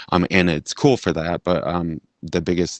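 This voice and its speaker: A man speaks at a moderate pace in a very deep, low voice. The sound is dry and close, with no echo. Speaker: gaming community member. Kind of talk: casual chat. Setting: outdoors, remote call. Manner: hesitant, many fillers.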